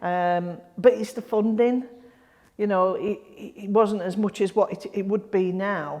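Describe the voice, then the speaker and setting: With a Yorkshire accent, a woman speaks at medium pitch and a fairly slow pace, keeping her intonation fairly even. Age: 60s. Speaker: grassroots football club volunteer. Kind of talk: interview. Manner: halting.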